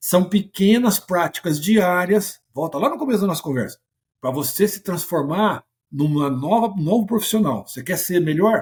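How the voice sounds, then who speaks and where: A man speaks at a high pitch with lively intonation, keeping a moderate pace. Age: 60s. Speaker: sales mentor. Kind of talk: podcast interview. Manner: animated.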